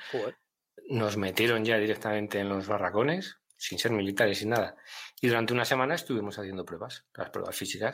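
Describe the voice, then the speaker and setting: An ordinary speaking voice at a fairly quick pace with ordinary pitch variation, on a very clean recording with a silent background. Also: man, fairly low pitch for a man. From Castile, northern Spain (Miranda de Ebro). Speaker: army veteran. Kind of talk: testimony.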